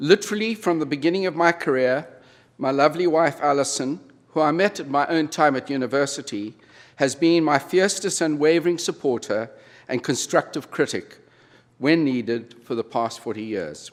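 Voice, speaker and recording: This man, with a South African accent, talks at a moderate pace in a fairly high pitch with lively intonation, on a very clean recording with a silent background. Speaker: retired business executive, honorary degree recipient. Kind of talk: convocation speech. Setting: university convocation ceremony with audience.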